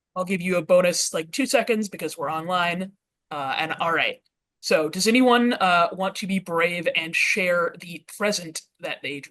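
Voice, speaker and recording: With a Western Pennsylvania accent, a woman speaks at a medium pitch and a moderate pace. Her loudness swings widely. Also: ordinary pitch variation. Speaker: educator, workshop presenter. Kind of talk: interactive workshop presentation. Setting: video call. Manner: hesitant, many filler words.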